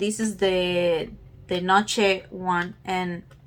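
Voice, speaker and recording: A woman with a non-native accent at a very slow pace. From Peru. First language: not English. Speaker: beauty YouTuber. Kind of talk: casual talk to camera.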